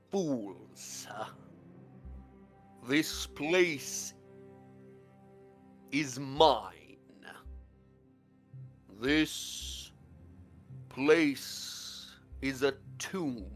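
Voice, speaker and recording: A man puts on a booming character voice at medium pitch, speaking very slowly with long, frequent pauses as faint music plays in the background. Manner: menacing, scornful.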